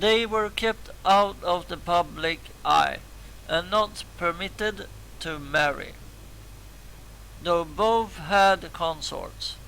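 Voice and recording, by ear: A man speaks slowly at a high pitch, raspy and with vocal fry. His tone is bright and sharp. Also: ordinary pitch variation.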